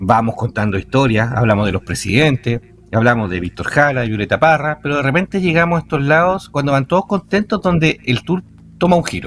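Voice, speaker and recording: A man talks at a fairly quick pace. His fairly high voice swings very widely in pitch. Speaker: night cemetery tour guide. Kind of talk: radio interview answer.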